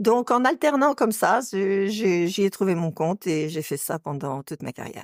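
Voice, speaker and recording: A woman's medium-pitched voice moves at a moderate pace with very wide pitch swings. The sound is dry and close, with no echo. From western France, Nantes area. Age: 60s. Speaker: retired nurse. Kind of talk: interview.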